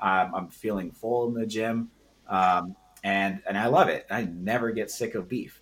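A man with a normal speaking voice at a fairly slow pace. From US, Washington. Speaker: nutrition and contest prep coach. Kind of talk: casual chat.

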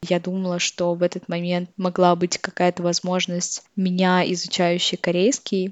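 With hardly any pauses, a woman talks at a moderate pace in a fairly low, monotone, flat voice. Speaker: podcast host. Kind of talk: monologue reflection.

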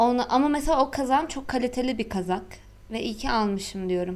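At a moderate pace, a woman with a high pitch speaks in an animated tone and lively intonation. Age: 20s. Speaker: podcast co-host. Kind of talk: casual chat.

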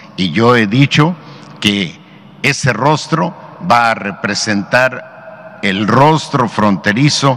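Noticeable background noise sits behind a man talking at a very slow pace. His intonation is lively. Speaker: state governor. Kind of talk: briefing with slides.

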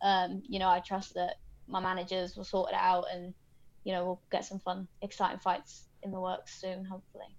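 Her intonation monotone and flat, a woman speaks at medium pitch and a moderate pace. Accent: British. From Britain. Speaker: mixed martial arts fighter. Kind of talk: interview.

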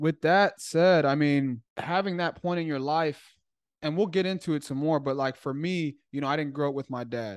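A speaker with an American accent talks at a fairly quick pace, with ordinary pitch variation. The sound is dry and close with no echo, over a quiet background. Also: man. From Chicago. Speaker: podcast host. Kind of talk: interview. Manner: animated.

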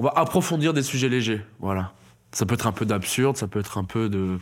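On a very clean recording with a silent background, a man speaks at a moderate pace and a fairly low pitch. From France, Toulouse. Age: 20s. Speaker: stand-up comedian. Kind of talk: casual interview chat. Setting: studio.

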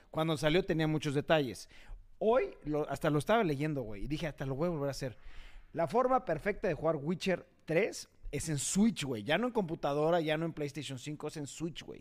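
A man speaks in a normal speaking voice at a moderate pace, his fairly high pitch carried by lively intonation on a very clean recording with a silent background. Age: 30s. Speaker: podcast host. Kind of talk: casual chat.

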